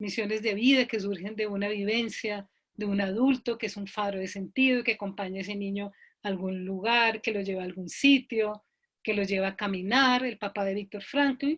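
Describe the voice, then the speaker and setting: A woman of medium pitch talks with fairly even intonation. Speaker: logotherapist, psychologist. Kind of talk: online talk. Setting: video call. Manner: deliberately slow.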